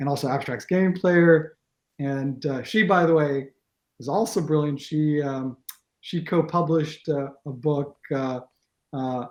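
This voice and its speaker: Speaking with an American accent, a man talks at a fairly slow pace. His voice sits fairly high, with ordinary pitch variation. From Israel. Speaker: games tournament organizer and team captain. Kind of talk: interview. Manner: halting, many fillers and restarts.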